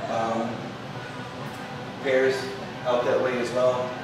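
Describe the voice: Clear background noise and audible room echo surround a man speaking at medium pitch.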